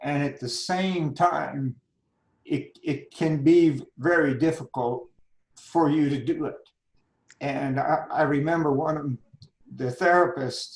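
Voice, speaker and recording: A man's somewhat breathy voice, very slow, with fairly even intonation and long, frequent pauses. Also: fairly high pitch for a man. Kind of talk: interview answer.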